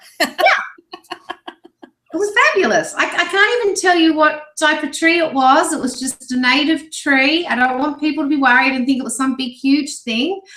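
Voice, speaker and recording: Speaking at a moderate pace, a woman has a Sydney accent. Her pitch is high, with ordinary variation. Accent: Sydney Australian. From Australia, Sydney. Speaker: internet marketer. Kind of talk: casual video interview.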